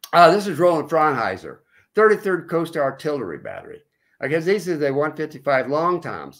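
Against a quiet background, a man with an American accent talks at a moderate pace with very wide pitch swings. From California. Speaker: author and oral historian; guest. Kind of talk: interview about history. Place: home room. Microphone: video call.

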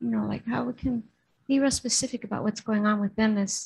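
In an Upper Midwest accent, a woman speaks in a somewhat breathy, dark, mellow tone with ordinary pitch variation. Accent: Upper Midwest American. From Minnesota. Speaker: sangha member. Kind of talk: audience question. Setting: temple. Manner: halting. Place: hall. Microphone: studio mic.

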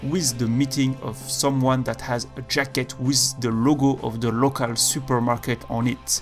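With music playing in the background, a man with a non-native accent talks at a fairly slow pace and a medium pitch. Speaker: video game analysis youtuber. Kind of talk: game commentary narration.

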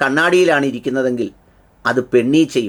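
A man's ordinary speaking voice. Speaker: commentary channel host. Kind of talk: scripted commentary.

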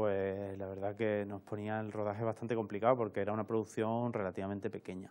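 At a fairly quick pace, a man speaks in a fairly low pitch with monotone, flat intonation. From Seville, Andalusia, Spain; Andalusia, Spain. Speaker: camera assistant and film workshop instructor; film workshop instructor. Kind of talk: interview. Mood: relaxed, fond. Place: studio.

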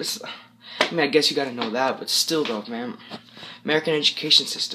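Intonation here is lively. The speaker is a man. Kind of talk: casual vlog chat. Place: home room. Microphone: phone near.

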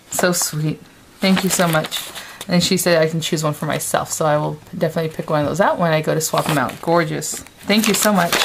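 Noticeable background noise sits behind a woman whose fairly low voice moves at a fairly quick pace with fairly even intonation. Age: 30s. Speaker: craft video blogger. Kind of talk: casual chat. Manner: hesitant, many fillers. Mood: warm, delighted. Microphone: phone near.

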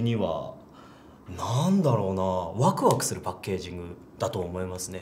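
A man speaks with a very deep, low pitch and ordinary pitch variation. His pace is moderate, over light background noise. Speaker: voice actor. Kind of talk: casual interview answer. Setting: recording studio. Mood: cheerful, relaxed. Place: meeting room.

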